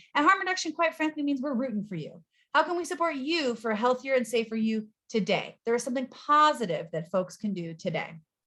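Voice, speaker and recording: A woman talks at a very fast pace with a high pitch. Her intonation is lively. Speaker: nonprofit executive director. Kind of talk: presentation.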